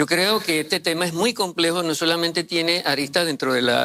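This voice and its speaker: Here a man speaks at a fairly quick pace. His tone is bright and sharp. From Panama, Chiriquí. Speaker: mining sector commentator. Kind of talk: panel discussion. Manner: halting, many fillers.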